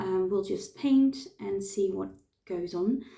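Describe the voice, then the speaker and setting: A woman with a non-native accent speaks at a medium pitch, her dark, mellow tone showing ordinary pitch variation. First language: not English. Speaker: face painter. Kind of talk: tutorial. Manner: halting, many fillers.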